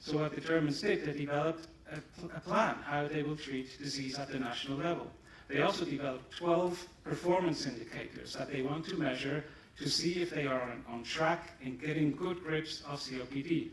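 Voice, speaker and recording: Amid noticeable background noise and audible room echo, a man with a fairly high pitch talks at a fairly quick pace with fairly even intonation. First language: German. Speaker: pharmaceutical company executive. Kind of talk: conference presentation.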